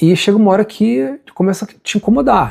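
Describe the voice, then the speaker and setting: The man's voice sits high in pitch. His tone is dark and mellow. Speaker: singer-songwriter. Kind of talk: personal story monologue. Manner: casual.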